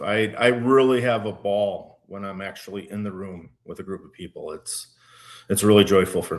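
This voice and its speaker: A man's fairly low voice with a slight Minnesota accent, fairly even intonation and a moderate pace, over a quiet background. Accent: slight Minnesota accent, shows on some words. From Minnesota, Minneapolis-Saint Paul area. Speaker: wine educator and small business owner. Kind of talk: casual interview. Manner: hesitant, many fillers and restarts.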